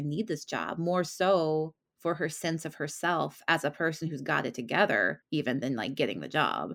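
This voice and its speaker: At a fairly quick pace, a woman with vocal fry and a very deep, low pitch speaks with ordinary pitch variation in a very clean recording with a silent background. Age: 30s. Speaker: romance novelist. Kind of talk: casual interview.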